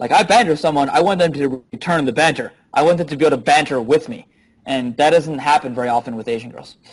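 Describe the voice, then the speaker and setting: Speaking very fast at a fairly high pitch, a man uses lively intonation with big swings in loudness. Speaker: dating coach. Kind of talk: interview.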